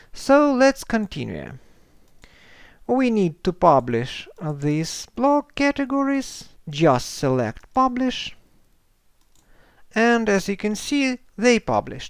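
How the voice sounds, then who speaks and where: In a Ukrainian accent, a man speaks very slowly at a high pitch with very wide pitch swings and long, frequent pauses. The recording is very clean, with a silent background. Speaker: software tutorial creator. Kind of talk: tutorial.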